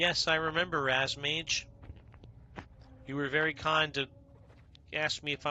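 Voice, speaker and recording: A man with an American accent speaks in a flat monotone with a bright, sharp tone. His moderate pace is broken by long, frequent pauses. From New York. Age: 50s. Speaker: video game streamer. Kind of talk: live gameplay stream chat. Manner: casual, conversational.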